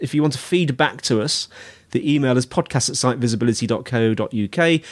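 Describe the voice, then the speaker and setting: On a very clean recording with a silent background, a man with a British accent speaks at a moderate pace, his medium pitch showing ordinary variation. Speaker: podcast host. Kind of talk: interview.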